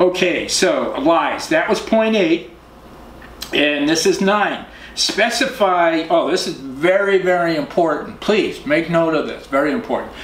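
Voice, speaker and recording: A man with an American accent speaks at a fairly slow pace in a high voice with ordinary pitch variation, over noticeable background noise and audible room echo. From Boston area, US. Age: 60s. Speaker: professional photographer giving dating advice. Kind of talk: casual tutorial. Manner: casual, halting with fillers.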